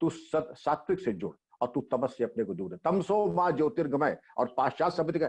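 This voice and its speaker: A man talks at a moderate pace with a fairly high pitch. His intonation is lively, with vocal fry. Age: 60s. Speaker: retired police chief. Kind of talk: interview.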